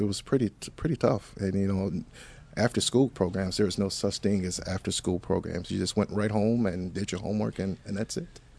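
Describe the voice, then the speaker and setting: Someone with an American accent talks in a normal speaking voice at a fairly quick pace. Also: man. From US Midwest, south side of Chicago. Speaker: school principal. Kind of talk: interview. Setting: studio.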